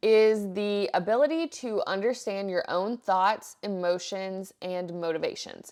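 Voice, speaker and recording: The recording is very clean, with a silent background. The voice shows ordinary pitch variation. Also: woman. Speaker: podcast host. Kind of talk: solo podcast monologue.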